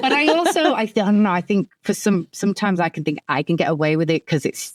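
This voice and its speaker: A woman with an English accent talks at a very fast pace with very wide pitch swings. The sound is dry and close, with no echo. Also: medium pitch for a woman. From England. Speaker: podcast host.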